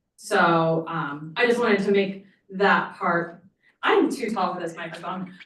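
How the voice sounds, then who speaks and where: Fairly slow speech from a woman at a medium pitch, with ordinary pitch variation and audible room echo. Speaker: nonprofit program director. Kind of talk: public comment at board meeting. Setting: meeting room podium microphone. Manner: loud.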